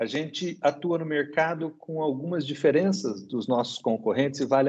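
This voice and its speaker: Here a man talks at a moderate pace in a plain, everyday voice, with ordinary pitch variation. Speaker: dental cooperative executive. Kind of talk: interview.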